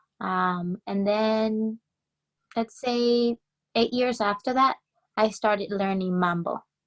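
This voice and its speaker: With a Spanish accent, a woman talks at a fairly slow pace in a fairly high pitch, her intonation fairly even and the sound dry and close with no echo. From Colombia, moved to New Jersey at ten. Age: 20s. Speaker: salsa dancer. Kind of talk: interview.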